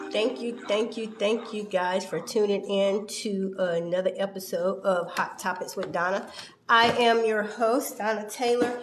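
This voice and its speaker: Noticeable background noise and audible room echo surround a woman speaking at a fairly slow pace. Her medium-pitched voice keeps a fairly even intonation. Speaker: talk show host. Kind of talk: interview show intro.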